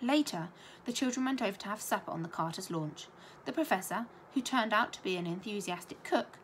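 The reading voice is natural. Its intonation sounds lively.

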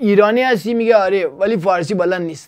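Over a quiet background, a man with a high pitch speaks at a fairly quick pace with ordinary pitch variation. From Iran, Gilan; Iran. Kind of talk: casual monologue with preaching. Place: studio. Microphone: lapel.

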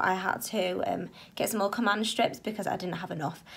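A woman talks at a medium pitch with vocal fry, at a fairly quick pace. Faint music plays in the background. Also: fairly bright tone.

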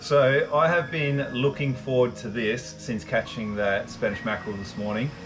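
A man's speech comes at a moderate pace, with clear background music playing. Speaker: vlogger. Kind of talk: casual cooking tutorial. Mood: jokey, relaxed. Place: garden. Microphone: camera far.

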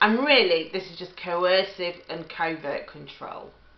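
A woman's voice at a fairly slow pace, with audible room echo. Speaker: relationship advice vlogger. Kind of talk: advice talk to camera. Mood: earnest, empathetic. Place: kitchen. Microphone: webcam.

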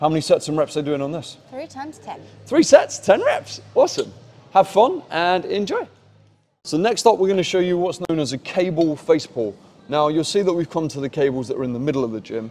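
A man speaks fairly quickly while faint music plays behind him. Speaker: fitness coach. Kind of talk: tutorial. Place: gym. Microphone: lapel.

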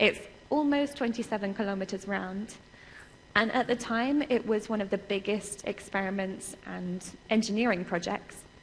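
The speaker has an English accent and ordinary pitch variation. Light background noise is audible. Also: woman, medium pitch for a woman. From England. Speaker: research computing security specialist. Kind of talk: conference lecture. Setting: stage with audience. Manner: fast talker; animated. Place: hall.

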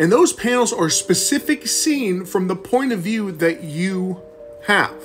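Faint music sits in the background. A man is talking over it. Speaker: self-published manga creator. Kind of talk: casual tutorial chat. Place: home room. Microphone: phone near.

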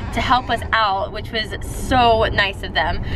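A woman speaks in a dry recording with no echo, though noticeable background noise can be heard. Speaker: family vlogger. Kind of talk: casual vlog chat. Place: car. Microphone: phone near.

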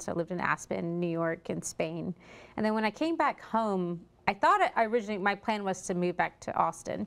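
A woman with a Texan accent and ordinary pitch variation. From Texas. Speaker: restaurant owner; guest. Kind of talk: interview. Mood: relaxed, friendly. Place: studio. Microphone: lapel.

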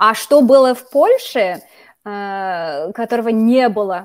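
A woman speaks with an English accent. The background is quiet. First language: English (speaking Russian). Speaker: YouTuber, Russian teacher. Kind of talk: interview; video introduction. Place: home room. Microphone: studio mic.

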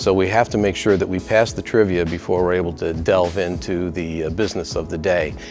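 Clear music in the background behind a man's very deep, low voice, fairly quick in pace with ordinary pitch variation. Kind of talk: interview answer. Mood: warm, admiring, lightly humorous. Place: office. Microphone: lapel.

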